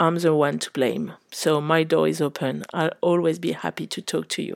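A woman with a French accent talks at a moderate pace, captured in a dry, close sound with no echo. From Paris, France. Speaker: English teacher and head of pedagogy at a language school. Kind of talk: self-introduction.

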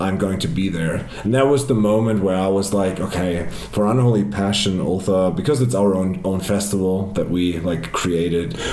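A man's fairly low voice at a moderate pace, with ordinary pitch variation, very even loudness and noticeable background noise. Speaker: festival organizer. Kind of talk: casual chat. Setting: face to face in Cologne.

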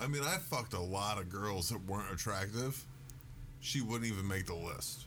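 This man has a fairly low pitch with vocal fry, lively intonation, very even loudness and a moderate pace. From US South, northern Louisiana. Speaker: podcast guest. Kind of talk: casual chat.

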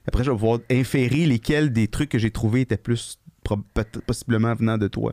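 In an ordinary speaking voice, a man talks at a medium pitch and moderate pace, with fairly even intonation, very even loudness and a dry, close sound with no echo. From Quebec, Gatineau. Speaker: podcast co-host, veterinarian. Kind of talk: casual chat. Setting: studio.

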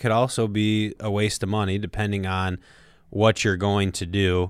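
An ordinary speaking voice from a man, fairly low in pitch, at a moderate pace, on a very clean recording with a silent background. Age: 30s. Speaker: financial advisor, co-host. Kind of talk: casual chat about personal finance. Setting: studio.

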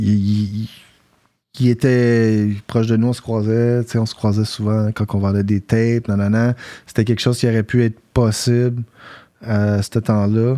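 Monotone and flat in intonation, a man speaks in a dark, mellow tone with long, frequent pauses. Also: medium pitch for a man, fairly slow pace. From South Shore of Montreal, Quebec. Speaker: rapper and battle MC. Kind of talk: casual chat.

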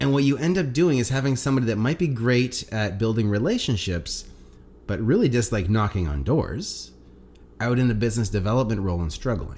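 The voice is somewhat breathy, with a Canadian accent and lively intonation at a fairly quick pace. Room echo can be heard. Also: man, medium pitch for a man. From Atlantic Canada. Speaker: sales coach. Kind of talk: casual interview.

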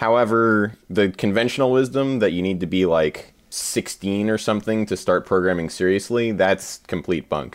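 A man talks at a moderate pace in a normal speaking voice, fairly low in pitch with ordinary pitch variation. The background is quiet. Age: 20s. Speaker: coding camp instructor and engineer. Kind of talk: casual chat.

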